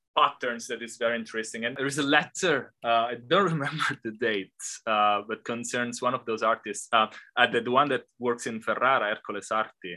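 Over a quiet background, a man with an Italian accent talks at a moderate pace. His voice has a medium pitch and a bright, sharp tone. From Italy. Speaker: art historian, professor. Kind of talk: academic interview. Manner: halting, many fillers.

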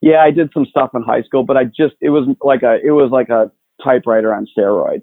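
A man with an ordinary speaking voice talks at a fairly quick pace. His pitch is medium, with ordinary pitch variation. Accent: American. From Chicago, south side. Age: 40s. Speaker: tech industry executive. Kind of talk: interview conversation.

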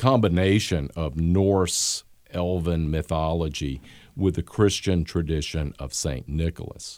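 In a very clean recording with a silent background, a man speaks with a Southern US accent. His voice is very deep, with ordinary pitch variation at a fairly slow pace. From US Gulf South. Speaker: history professor.

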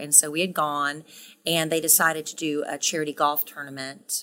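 Speaking with an American accent, a woman keeps a moderate pace. Her pitch is very deep and low. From US South, South Carolina. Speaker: radio co-host. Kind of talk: casual interview.

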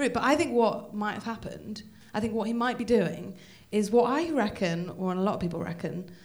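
Speaking at a fairly quick pace, a woman has a medium pitch with ordinary pitch variation. Her voice is somewhat breathy. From Wales. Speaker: comedian. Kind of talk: casual chat.

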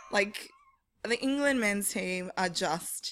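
A woman with an Australian accent speaks at a fairly slow pace and a medium pitch. Her intonation is lively. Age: 30s. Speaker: women's football editor. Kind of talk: casual chat. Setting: stage with audience.

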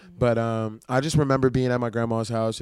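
Recorded very cleanly with a silent background, a man speaks at a medium pitch and moderate pace with monotone, flat intonation. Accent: New Orleans. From New Orleans. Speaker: rapper and producer. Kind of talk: casual interview.

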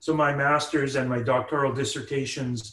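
A man speaks with a Canadian accent at a fairly slow pace. He has a plain, everyday voice with a fairly high pitch. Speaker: professor. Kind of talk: interview.

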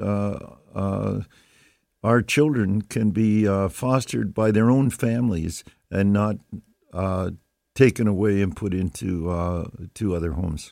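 A man speaks at a fairly slow pace in a fairly low, dark, mellow voice, leaving long, frequent pauses. The recording is very clean, with a silent background. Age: 80s+. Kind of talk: interview. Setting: radio studio. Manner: halting.

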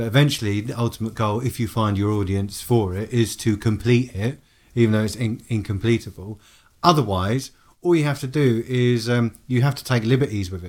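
In an English accent, a man speaks at a medium pitch and a fairly quick pace with ordinary pitch variation, in a very clean recording with a silent background. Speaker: podcast co-host. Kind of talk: casual chat. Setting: studio.

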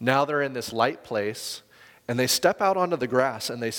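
The words come in an unforced reading voice.

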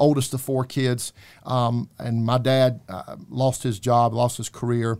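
Monotone, flat intonation defines this man's speech, captured on a very clean recording with a silent background. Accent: Southern US. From US South, South Carolina. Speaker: faith outreach political organizer. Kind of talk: interview. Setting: studio.

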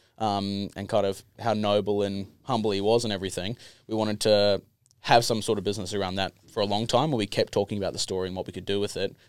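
A man with an Australian accent talks at a very fast pace and fairly low pitch in a monotone, flat way, in a very clean recording with a silent background. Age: 20s. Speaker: distiller. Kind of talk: casual chat.

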